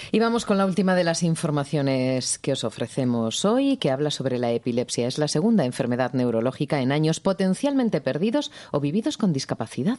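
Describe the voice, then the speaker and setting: This woman's voice sits very deep and low, with a dark, mellow tone, very wide pitch swings, very even loudness, and a fairly quick pace. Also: hardly any pauses. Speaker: radio health show host. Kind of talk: radio talk show. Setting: radio studio.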